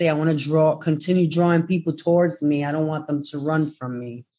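The woman has a very deep, low pitch. Her intonation stays fairly even. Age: 40s. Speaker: parent advocate. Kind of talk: panel discussion.

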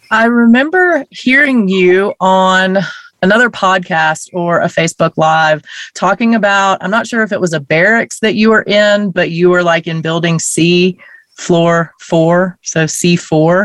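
A woman with a normal speaking voice, medium in pitch, at a fairly slow pace with ordinary pitch variation and a dry, close sound without echo. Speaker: podcast host. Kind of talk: interview. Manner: warm, upbeat.

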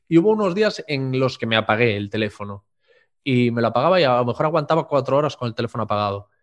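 The speech comes at a very fast pace with lively intonation. The background is quiet. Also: man, medium pitch for a man. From Spain, Galicia (Corcubión). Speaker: podcast host and interviewer. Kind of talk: interview conversation. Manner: halting, with frequent repetitions.

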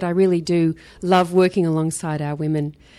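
In an Australian accent, this dark, mellow voice moves at a fairly quick pace with monotone, flat intonation. The recording is very clean, with a silent background. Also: woman. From Australia, Sydney. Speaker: Bible college dean. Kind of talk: casual interview.

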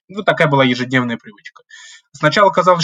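Bright and sharp in tone, the voice races at a very fast pace with lively intonation, in a dry, close sound with no echo. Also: man. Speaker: graduate student, political scientist. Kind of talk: podcast interview.

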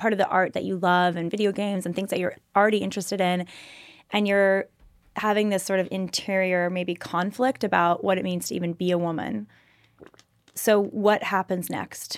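A woman with a Californian accent talks at a moderate pace and medium pitch. Her intonation is monotone and flat, in a very clean recording with a silent background. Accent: Californian American English. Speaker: podcast host. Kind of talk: interview.

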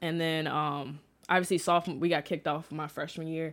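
Recorded very cleanly against a silent background, a woman with an American accent talks at a fairly quick pace in a very deep, low pitch. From St. Louis area, Missouri (North County). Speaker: university student. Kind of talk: casual interview. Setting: studio.

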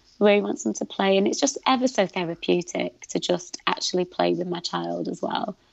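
A woman's fairly quick speech in a British accent, with hardly any pauses. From Britain, Pakistani heritage. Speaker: content creator and activist. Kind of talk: casual interview conversation.

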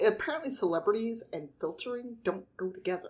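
A woman with a Midwestern US accent talks at a moderate pace. Her fairly high pitch moves in very wide swings. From Chicago. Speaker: podcast host. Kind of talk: casual chat.

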